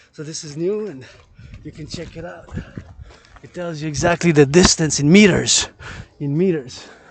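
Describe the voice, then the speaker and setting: Noticeable background noise sits behind a man speaking at a moderate pace and a fairly high pitch. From Quebec. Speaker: vlogger. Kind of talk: walking vlog monologue. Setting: outdoors.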